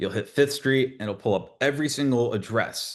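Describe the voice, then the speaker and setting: The pace is fairly quick, with ordinary pitch variation. A man speaks with an American accent against a quiet background. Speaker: real estate webinar presenter. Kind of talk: webinar tutorial. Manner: fast; halting, many fillers.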